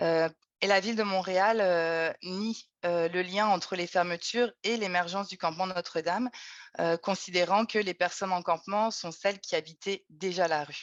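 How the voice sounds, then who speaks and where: Against a quiet background with a dry, close sound with no echo, a woman with an unremarkable speaking voice talks at a moderate pace in a medium pitch. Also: fairly even intonation. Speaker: researcher. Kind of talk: webinar presentation.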